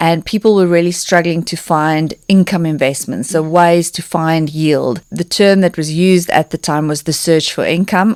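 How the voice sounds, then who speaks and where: A woman speaks with a South African accent. Her pace is moderate and her intonation fairly even. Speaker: personal finance expert and author. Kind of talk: podcast interview.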